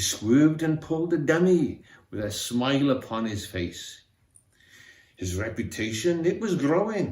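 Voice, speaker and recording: A man with a Welsh accent speaks at a fairly slow pace. His fairly high voice moves in very wide pitch swings. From Wales. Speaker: amateur theatre member. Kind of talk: reading aloud. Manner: expressive.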